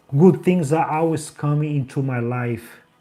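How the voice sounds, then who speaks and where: With a strong Brazilian accent, a man talks in a dark, mellow tone that is somewhat breathy. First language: Portuguese. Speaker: life coach. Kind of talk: motivational livestream with guided affirmations. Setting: livestream.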